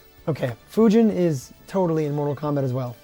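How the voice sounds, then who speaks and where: With music playing in the background, a man speaks with ordinary pitch variation. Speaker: retro video game reviewer. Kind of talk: game review narration.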